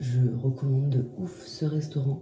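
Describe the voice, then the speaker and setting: A woman with a very deep, low voice, very slow and fairly even in intonation, with audible room echo and noticeable background noise. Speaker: vlogger. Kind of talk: casual vlog talk.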